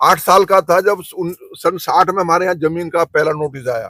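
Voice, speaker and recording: The man's voice is pitched high. It has a bright, sharp tone. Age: 70s. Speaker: farmer union activist. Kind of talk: interview.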